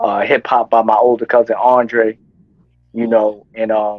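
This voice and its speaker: This is a man's voice. He talks with an American accent. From East New York, Brooklyn. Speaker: rapper. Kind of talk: casual interview.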